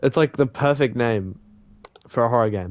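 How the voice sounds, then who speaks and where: At a moderate pace, a man speaks with ordinary pitch variation in a dry, close sound with no echo. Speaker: gaming youtuber. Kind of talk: let's play commentary.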